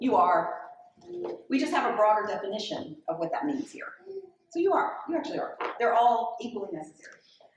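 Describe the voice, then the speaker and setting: A loud woman speaks at a fairly quick pace with a fairly high pitch and very wide pitch swings. Audible room echo surrounds her voice. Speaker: author and podcaster. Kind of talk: public conversation, Q&A. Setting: library event with live audience. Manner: fast.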